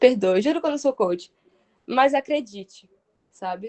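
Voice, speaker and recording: This woman's voice sits high in pitch. Her intonation is lively. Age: 20s. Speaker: sales manager giving a talk. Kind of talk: online workshop talk. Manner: fast; animated.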